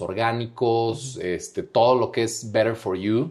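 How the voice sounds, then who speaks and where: A man with a plain, everyday voice talks at a moderate pace with ordinary pitch variation on a very clean recording with a silent background. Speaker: international business coordinator at a candy company. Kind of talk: casual interview chat.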